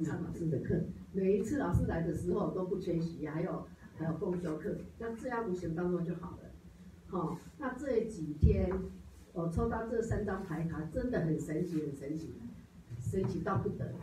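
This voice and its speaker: Amid noticeable background noise, a woman with a fairly low voice and ordinary pitch variation speaks at a moderate pace with long, frequent pauses. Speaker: study group member. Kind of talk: testimony. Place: classroom. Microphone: camera far.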